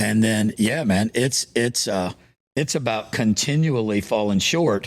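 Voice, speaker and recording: On a very clean recording with a silent background, a man speaks in an ordinary speaking voice at a medium pitch. His pace is fairly slow, his loudness very even, and his pitch varies in an ordinary way. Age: 60s. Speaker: pastor. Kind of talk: interview conversation.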